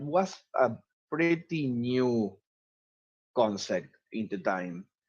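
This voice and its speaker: Speaking with an Argentine accent, a man makes very wide pitch swings. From Argentina, Cordoba. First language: Spanish. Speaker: citizen scientist and astronomy student. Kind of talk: webinar talk. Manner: halting, with frequent fillers.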